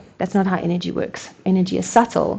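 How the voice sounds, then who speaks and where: The woman's voice has a dark, mellow tone. It sounds somewhat breathy. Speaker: energy work instructor. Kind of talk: guided movement tutorial. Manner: fast; casual, hesitant.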